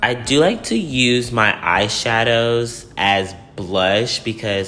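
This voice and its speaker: A man speaks with fairly even intonation. Audible room echo and noticeable background noise are present. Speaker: beauty youtuber. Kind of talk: makeup tutorial.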